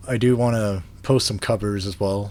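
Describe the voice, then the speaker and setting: At a moderate pace, a man speaks in a fairly low voice. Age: 30s. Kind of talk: casual vlog talk to camera. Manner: hesitant, many fillers.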